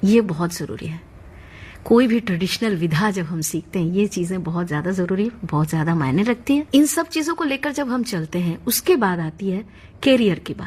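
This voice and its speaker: A woman speaks in a Bengali accent with very wide pitch swings. Her voice is somewhat breathy. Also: medium pitch for a woman. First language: Bengali (speaking Hindi). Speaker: classical music teacher. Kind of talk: interview.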